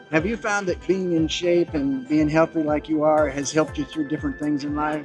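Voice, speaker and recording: Someone speaks at a fairly quick pace while music plays in the background. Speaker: interviewer, mechanical engineer. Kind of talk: casual interview questions.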